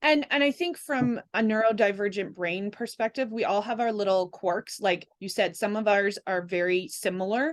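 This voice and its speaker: A woman with an ordinary speaking voice talks at a moderate pace with hardly any pauses, medium pitch and ordinary pitch variation, in a dry, close sound with no echo against a quiet background. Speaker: holistic energy practitioner and podcast guest. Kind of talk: casual chat.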